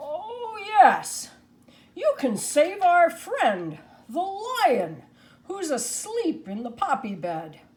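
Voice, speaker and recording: A woman's put-on character voice, extremely high in pitch and very slow. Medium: read story.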